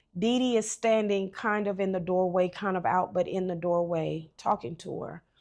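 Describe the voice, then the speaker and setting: The woman has a normal speaking voice at a medium pitch, with fairly even intonation. She talks at a moderate pace with hardly any pauses. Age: 50s. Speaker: adoptee sharing life story. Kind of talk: testimony.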